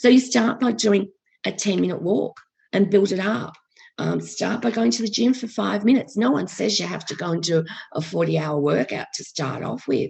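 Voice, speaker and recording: Vocal fry runs through a woman's speech at a moderate pace. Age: 60s. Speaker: life coach. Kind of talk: podcast interview. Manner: hesitant, frequent ums.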